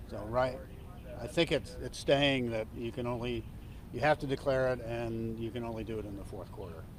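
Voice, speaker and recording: Audible room echo surrounds a man speaking at a moderate pace and medium pitch, with ordinary pitch variation. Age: 60s. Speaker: football team executive. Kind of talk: press conference. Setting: media scrum. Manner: halting, many fillers.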